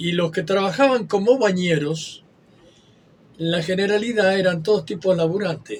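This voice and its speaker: A man with ordinary pitch variation. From Argentina, western Buenos Aires area. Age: 80s+. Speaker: retired lifeguard. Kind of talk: interview. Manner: halting.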